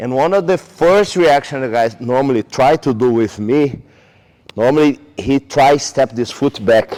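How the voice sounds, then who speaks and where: A man with a Brazilian Portuguese accent speaks at a medium pitch with lively intonation. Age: 40s. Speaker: jiu jitsu coach. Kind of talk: technique tutorial; casual interview chat.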